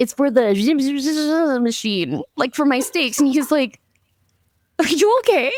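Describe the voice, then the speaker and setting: A loud, animated woman at a moderate pace, in a dry, close sound with no echo. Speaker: marketing agency owner. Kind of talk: casual chat.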